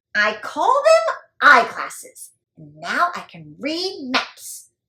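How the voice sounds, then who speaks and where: An extremely high, put-on character voice with very wide pitch swings at a very slow pace. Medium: read story. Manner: bold, pirate-flavoured exclamations.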